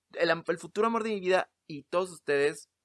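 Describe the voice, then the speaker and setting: The man's voice sits high in pitch and has ordinary pitch variation. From Mexico City. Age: 20s. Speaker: podcast host, actor and playwright. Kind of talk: casual solo monologue. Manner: halting, many repetitions.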